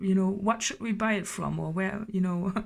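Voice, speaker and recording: A woman's somewhat breathy, medium-pitched voice at a moderate pace, with fairly even intonation. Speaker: tarot reader. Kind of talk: tarot reading. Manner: halting, many fillers.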